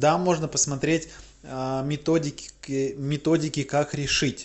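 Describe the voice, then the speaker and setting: The speaker is a man with a fairly high voice. He talks very slowly. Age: 20s. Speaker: video blogger. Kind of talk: casual monologue. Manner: conversational with filler hesitations.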